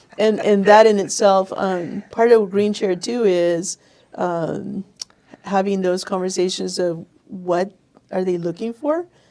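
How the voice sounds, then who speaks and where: A woman speaks at a medium pitch with a Spanish accent. Her intonation stays fairly even. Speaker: chamber of commerce operations director. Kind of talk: podcast interview.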